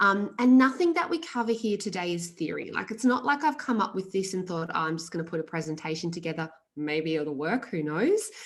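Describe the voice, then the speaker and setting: Her intonation lively, a woman speaks in a medium pitch. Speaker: nutrition practitioner and business coach. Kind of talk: webinar presentation. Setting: online masterclass. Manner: fast; animated.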